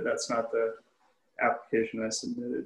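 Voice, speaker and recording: This is a man speaking. Audible room echo surrounds his voice. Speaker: homeowner applicant. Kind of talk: presentation. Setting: video call. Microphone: video call.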